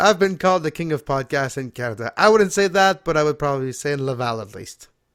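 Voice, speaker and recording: Lively in intonation, a man talks at a very fast pace with a fairly high pitch. The recording is very clean, with a silent background. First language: French. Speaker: wrestling podcast host. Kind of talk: casual chat.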